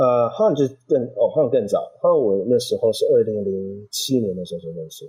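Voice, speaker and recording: Speaking at a moderate pace with hardly any pauses, a man lets his loudness swing widely. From Taipei, Taiwan, then San Jose, California from about age 10. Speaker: chef and restaurant founder. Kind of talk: interview.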